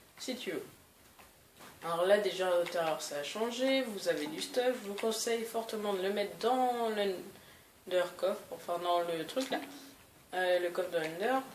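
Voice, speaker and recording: Amid audible room echo, a woman of medium pitch speaks with lively intonation at a fairly slow pace, leaving long, frequent pauses. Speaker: gaming youtuber. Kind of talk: gameplay commentary. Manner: hesitant, many fillers.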